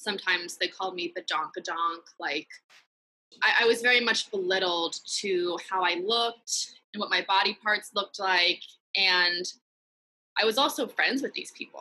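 Speaking at a moderate pace, a woman keeps a medium pitch with ordinary pitch variation. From US West Coast (San Francisco Bay Area, East Bay). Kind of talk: interview testimony.

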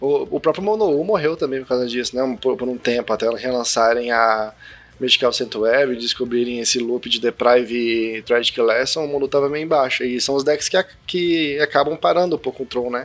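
Here is a man with an ordinary speaking voice, medium in pitch with ordinary pitch variation, talking at a moderate pace. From Brazil, Brasília. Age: 20s. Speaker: YouTuber and card game player. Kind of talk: casual chat.

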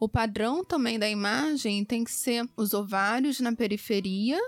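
The speech comes at a very slow pace with ordinary pitch variation, and music plays in the background. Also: woman. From Rio de Janeiro, Brazil. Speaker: gynecologist. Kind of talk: expert interview.

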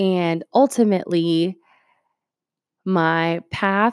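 Fairly low-pitched female voice in a dry, close sound with no echo. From Puerto Rico, then Ohio from age eight. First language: Spanish. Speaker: podcast host, aura photographer. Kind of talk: casual monologue.

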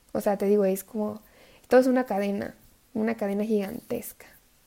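A woman's fairly high voice with a dark, mellow tone, in a central Mexican accent, at a moderate pace with long, frequent pauses. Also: fairly even intonation. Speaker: environmental activist and student. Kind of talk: casual interview chat. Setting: video call.

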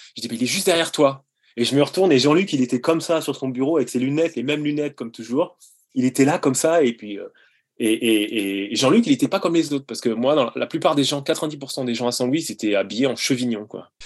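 Against a quiet background, a man with a plain, everyday voice talks at a fairly quick pace, fairly high in pitch, with lively intonation. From France, Sarthe (near Le Mans). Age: 40s. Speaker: childhood friend of the subject. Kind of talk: casual interview. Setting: video call.

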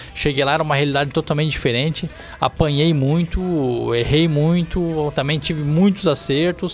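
A man talks with a fairly high pitch and fairly even intonation at a moderate pace. Noticeable background noise sits behind him. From Santa Catarina, Brazil (Balneário Camboriú). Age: 30s. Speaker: city councillor. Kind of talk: podcast interview.

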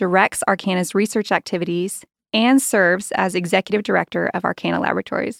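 A woman speaks at a very fast pace with vocal fry. The recording is very clean, with a silent background and a dry, close sound with no echo. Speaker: podcast host, communications director. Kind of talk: casual interview.

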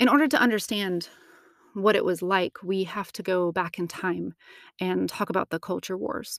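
In a very clean, dry, close recording with a silent background and no echo, a woman with an American accent speaks at a moderate pace in a medium-pitched voice with vocal fry and ordinary pitch variation. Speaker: podcast host. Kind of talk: solo podcast monologue.

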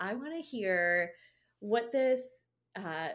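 A woman with an animated tone and a fairly high pitch. The recording is very clean, with a silent background. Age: 30s. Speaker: podcast host and health coach. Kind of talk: solo motivational talk.

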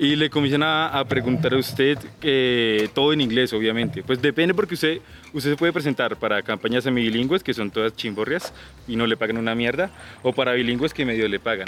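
This is an unremarkable speaking voice at a fairly quick pace. Loudness stays very even, and pitch varies in an ordinary way. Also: man, medium pitch for a man. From Colombia, Boyacá (Duitama). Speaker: call center agent. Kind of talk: casual chat. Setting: outdoors.

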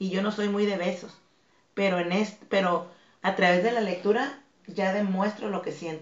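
Amid noticeable background noise, a woman with a medium-pitched voice speaks at a moderate pace. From Tijuana, Mexico. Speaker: fitness instructor and dance academy director. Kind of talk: interview.

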